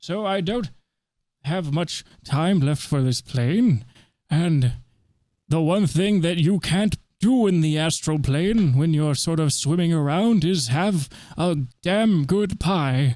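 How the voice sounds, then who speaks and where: Using a put-on character voice, a man speaks high and fairly slowly, leaving long, frequent pauses. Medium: actual play. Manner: pompous, rambling, forgetful.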